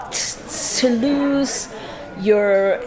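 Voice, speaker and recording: A woman with an Aberdeen accent talks with ordinary pitch variation over noticeable background noise. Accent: Aberdeen Scottish. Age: 60s. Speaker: community activist. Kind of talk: interview.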